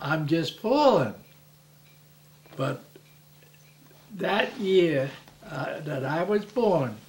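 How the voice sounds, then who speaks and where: The speaker has an American accent, talks at a very slow pace with long, frequent pauses, and swings very widely in pitch. Audible room echo and noticeable background noise are present. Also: man, high pitch for a man. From Newark, New Jersey. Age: 80s+. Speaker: grandparent interviewee. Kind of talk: family oral history interview. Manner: halting, with repeated words and false starts.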